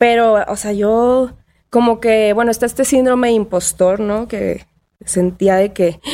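A woman with a dark, mellow tone and fairly high pitch talks at a fairly slow pace with fairly even intonation. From Mexico, Tampico. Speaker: DJ. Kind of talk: casual chat.

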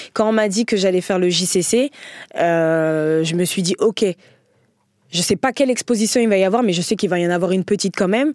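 On a very clean recording with a silent background and a dry, close sound with no echo, a woman of medium pitch talks at a fairly quick pace with ordinary pitch variation and long, frequent pauses. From France, Paris area. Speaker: comedian. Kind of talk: casual chat.

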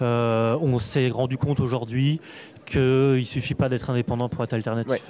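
A man talks at a moderate pace and medium pitch. His intonation is monotone and flat, with music in the background. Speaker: comics writer and critic. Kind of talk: interview. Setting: comics festival.

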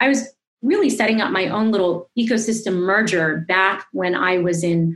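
A woman's somewhat breathy voice moves fairly quickly, its pitch varying in an ordinary way. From Asia (born in Singapore, raised around Asia). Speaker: entrepreneur and former Wall Street broker. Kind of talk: interview.

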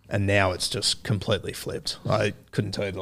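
A man speaks with an Australian accent at a very fast pace. His pitch sits fairly low. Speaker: rugby league podcaster. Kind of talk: casual interview chat. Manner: halting, stuttery.

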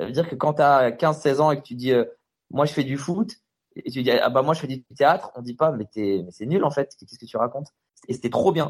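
A man's normal speaking voice at a fairly high pitch, fairly quick in pace, with big swings in loudness. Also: ordinary pitch variation. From France, Stains (Paris suburbs). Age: 30s. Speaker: comedian. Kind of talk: casual interview. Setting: Skype call.

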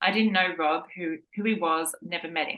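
In an Australian accent, a woman with a fairly low pitch and a bright, sharp tone speaks at a moderate pace with fairly even intonation. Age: 40s. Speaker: running podcast co-host. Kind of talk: scripted narration.

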